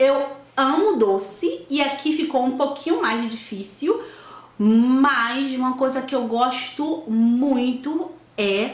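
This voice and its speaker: A high-pitched woman's voice with very wide pitch swings and audible room echo. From Salvador, Bahia, Brazil. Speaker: video blogger. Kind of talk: casual vlog, reading questions aloud and answering. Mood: fond, nostalgic, lively. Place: home room. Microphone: camera far.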